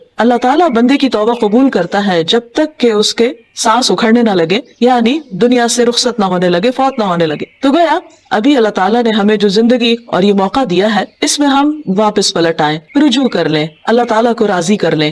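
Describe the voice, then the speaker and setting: A woman's fairly high voice with lively intonation and very even loudness, over noticeable background noise. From Pakistan. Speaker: Islamic scholar and preacher. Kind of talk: religious lecture.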